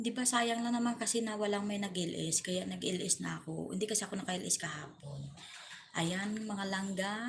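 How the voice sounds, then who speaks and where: A woman speaks at a moderate pace with a medium pitch and ordinary pitch variation. Noticeable background noise can be heard. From Western Visayas, Philippines (Ilonggo). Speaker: vlogger. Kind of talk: casual livestream chat.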